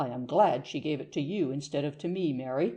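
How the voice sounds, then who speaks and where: In a put-on character voice, the speaker growls at a low-to-middle pitch and a fairly quick pace. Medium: read story. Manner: gentle, measured.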